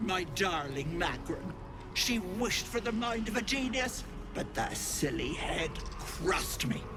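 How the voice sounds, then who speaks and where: A man's put-on character voice, high-pitched, at a fairly slow pace over loud background noise. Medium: game stream. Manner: mock-sweet, taunting.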